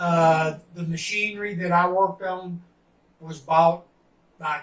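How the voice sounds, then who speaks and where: At a fairly slow pace, a man with a Tennessee accent speaks in a high voice. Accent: Southern US (Tennessee). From US South, Tennessee. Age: 70s. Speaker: retired printer. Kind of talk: interview. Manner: halting, many fillers.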